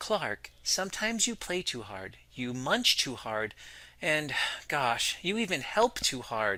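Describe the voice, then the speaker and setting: In a put-on character voice, a man speaks at a fairly slow pace with a gentle tone, medium pitch and very wide pitch swings, on a very clean recording with a silent background. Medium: read story. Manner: gentle, patient.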